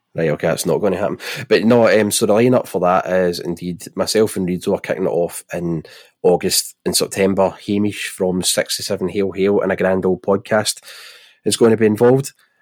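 In a Glaswegian accent, a man speaks at a fairly low pitch with fairly even intonation. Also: fairly quick pace. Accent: Glaswegian Scottish. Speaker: football podcast host. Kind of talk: casual chat.

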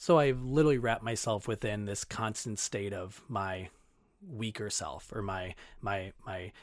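Heard in a very clean recording with a silent background, a man with an American accent has an unremarkable speaking voice, a fairly low pitch and ordinary pitch variation. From Minnesota, Twin Cities (Brooklyn Center). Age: 30s. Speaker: fitness coach and marathon runner. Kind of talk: casual interview chat.

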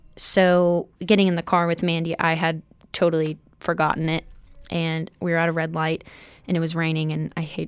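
A woman with an ordinary speaking voice, fairly low in pitch with fairly even intonation, at a fairly quick pace on a very clean recording with a silent background. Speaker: college student. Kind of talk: casual chat.

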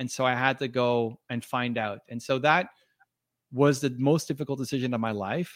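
A man speaks at a moderate pace in an ordinary speaking voice. His pitch is medium, with fairly even intonation. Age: 40s. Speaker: entrepreneur and author. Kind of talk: interview.

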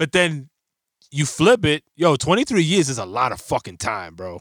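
A man with fairly high pitch and vocal fry makes very wide pitch swings. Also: dry, close sound with no echo. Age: 40s. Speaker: podcast co-host. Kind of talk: casual chat.

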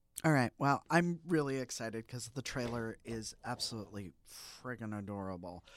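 On a very clean recording with a silent background, a man with an unremarkable speaking voice talks at a moderate pace and medium pitch, with lively intonation, big swings in loudness and hardly any pauses. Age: 50s. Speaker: podcast co-host. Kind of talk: casual chat.

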